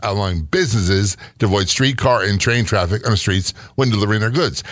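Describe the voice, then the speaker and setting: At a fairly quick pace, a man with an ordinary speaking voice talks at a fairly low pitch with ordinary pitch variation. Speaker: radio host and retired police sergeant. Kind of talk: casual podcast chat about hauntings.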